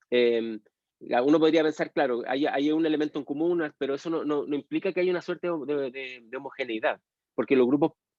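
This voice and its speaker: With a Chilean accent, a man speaks fairly quickly in a fairly high pitch. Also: ordinary pitch variation. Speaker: university history lecturer. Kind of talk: lecture with class discussion. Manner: halting, many fillers and repetitions.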